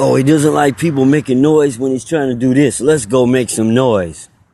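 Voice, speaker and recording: A man speaks at a moderate pace and medium pitch, with ordinary pitch variation. Noticeable background noise is present. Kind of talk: angry rant monologue. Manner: loud.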